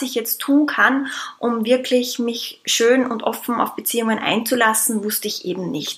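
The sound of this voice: A woman talks at a fairly slow pace in a fairly high pitch with ordinary pitch variation. Her fairly bright tone has a slightly husky edge.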